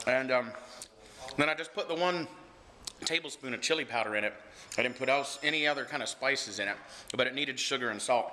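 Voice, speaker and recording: A man with an American accent talks at a very fast pace, yet with long, frequent pauses. His pitch is medium with ordinary variation, and noticeable background noise can be heard. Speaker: vlogger. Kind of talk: casual vlog. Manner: animated.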